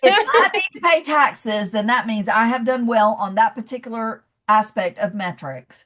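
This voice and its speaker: A woman with a Southern US accent, fairly high pitch and a bright, sharp, animated tone, lively intonation, a moderate pace and hardly any pauses. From US South, Georgia (Athens). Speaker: leadership coach. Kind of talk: podcast interview.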